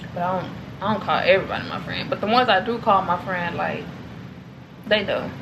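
Over noticeable background noise, a woman talks at a very fast pace with fairly even intonation. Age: 20s. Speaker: vlogger. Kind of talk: casual vlog Q&A. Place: home room. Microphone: camera far.

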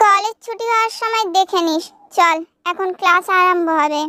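Putting on a character voice, a woman speaks at an extremely high pitch and a moderate pace. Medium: fan dub. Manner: calm, matter-of-fact.

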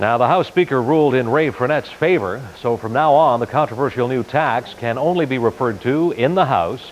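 Faint background noise accompanies a man whose medium-pitched voice has lively intonation.

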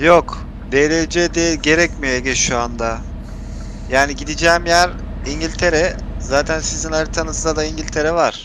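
A man speaks at a fairly slow pace with a dry sound with no echo, though noticeable background noise is present. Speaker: gaming streamer. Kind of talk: gameplay voice chat with viewers. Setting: online voice chat while gaming. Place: home room.

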